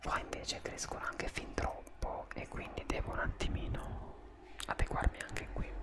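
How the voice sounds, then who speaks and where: Whispering, a man speaks at a fairly slow pace. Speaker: beauty vlogger. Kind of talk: casual vlog chat. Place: home room. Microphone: studio mic.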